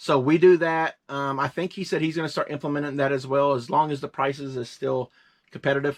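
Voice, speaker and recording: Against a quiet background, a man speaks in a fairly high pitch. His intonation stays fairly even. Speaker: reseller. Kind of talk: casual chat. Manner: fast.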